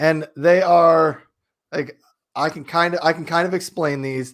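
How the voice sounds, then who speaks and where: This man has an American accent. His voice is high in pitch with ordinary variation. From US Midwest, South Dakota. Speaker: live streaming enthusiast. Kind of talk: casual chat.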